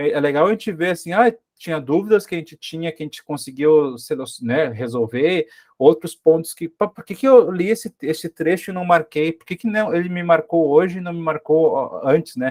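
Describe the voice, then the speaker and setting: Speaking at a moderate pace, a man has a southern Brazilian accent, a high pitch and ordinary pitch variation. His loudness swings widely, and the sound is dry and close with no echo. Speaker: teacher, study group organizer. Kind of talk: study group discussion. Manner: halting, many repetitions.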